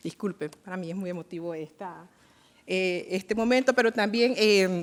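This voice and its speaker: A woman with a Nicaraguan accent speaks at a moderate pace with ordinary pitch variation. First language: Miskito (speaking Spanish). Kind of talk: formal event moderation speech. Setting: UN event in Geneva. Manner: hesitant with frequent fillers.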